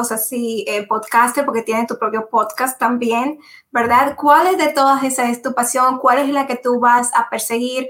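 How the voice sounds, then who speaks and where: A woman's high-pitched voice with monotone, flat intonation. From Dominican Republic. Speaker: podcast host. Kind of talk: interview.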